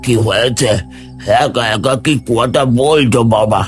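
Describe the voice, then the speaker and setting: A man's raspy, cartoonish character voice at a medium pitch and fairly slow pace, over clear music in the background. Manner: hesitant, coughing, with drawn-out ums and ahs.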